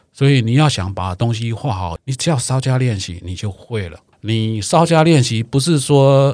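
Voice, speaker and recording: With hardly any pauses, a man of medium pitch uses lively intonation in an unremarkable speaking voice. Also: moderate pace. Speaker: watercolor painting teacher. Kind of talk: casual chat.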